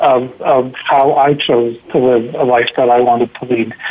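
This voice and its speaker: A man's medium-pitched voice with monotone, flat intonation amid noticeable background noise. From Montreal, Quebec. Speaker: leadership coach and author. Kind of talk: radio interview.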